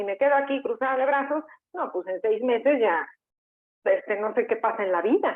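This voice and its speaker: A woman with a normal speaking voice, lively intonation, and a moderate pace. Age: 50s. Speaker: career coach. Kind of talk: interview.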